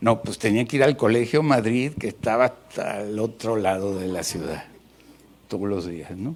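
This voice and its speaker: A man with a normal speaking voice at a medium pitch speaks at a moderate pace, his intonation lively. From Mexico City. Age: 60s. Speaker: pastor. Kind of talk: sermon.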